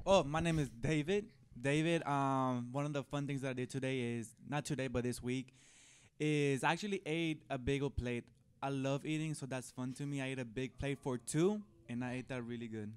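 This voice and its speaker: A man with a Spanish accent, fairly high pitch, ordinary pitch variation and a moderate pace. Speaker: youth group member. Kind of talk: casual chat.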